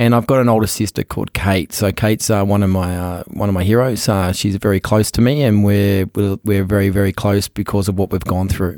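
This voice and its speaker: With an Australian accent, a man talks at a fairly quick pace with hardly any pauses, his fairly low, dark, mellow voice fairly even in intonation and recorded dry and close with no echo. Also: very clean recording, silent background. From Australia, Sydney. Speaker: entrepreneur. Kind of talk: interview.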